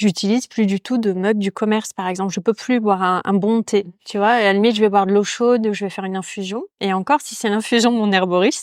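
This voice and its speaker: A very fast pace and fairly even intonation, in a very clean recording with a silent background and a dry, close sound with no echo. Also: woman, medium pitch for a woman. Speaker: podcast host, yoga teacher. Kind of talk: casual interview conversation. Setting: ceramics workshop. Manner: hesitant, many fillers.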